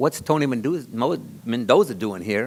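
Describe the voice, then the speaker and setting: With lively intonation, a man speaks at a moderate pace in a medium pitch. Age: 60s. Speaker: city councilmember. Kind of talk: public meeting remarks. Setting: town-hall meeting. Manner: halting.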